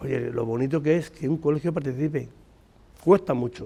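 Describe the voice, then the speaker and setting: Talking at a fairly quick pace, a man uses a medium pitch, ordinary pitch variation and a dark, mellow tone. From Spain, Madrid. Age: 60s. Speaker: retired trade unionist and community volunteer. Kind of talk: interview. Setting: school playground.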